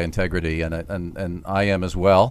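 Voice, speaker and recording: A man with an American accent. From US (New Jersey, Colorado, Ohio). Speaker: training company CEO, former government executive. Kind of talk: radio interview.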